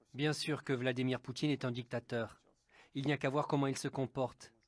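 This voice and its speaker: Set against a silent background on a very clean recording, the speaker's intonation is monotone and flat. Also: man. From Russia. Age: 60s. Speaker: opposition politician. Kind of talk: interview testimony. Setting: at home.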